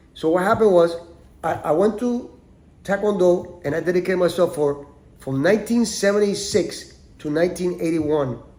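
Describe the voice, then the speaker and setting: A man speaks with a Spanish accent. His pitch is high, with ordinary variation. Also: moderate pace. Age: 60s. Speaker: podcast host, martial arts teacher. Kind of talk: personal monologue. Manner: animated; halting, repeats words.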